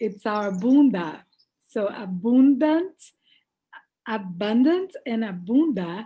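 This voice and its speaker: With a Portuguese accent, a woman speaks at a very slow pace with long, frequent pauses, her fairly high, somewhat breathy voice dark and mellow in tone, with very wide pitch swings. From Brazil. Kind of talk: casual chat.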